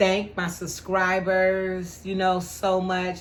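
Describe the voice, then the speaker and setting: A woman speaks at a fairly low pitch. Audible room echo surrounds her voice. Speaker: YouTuber and caterer. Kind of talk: casual vlog talk.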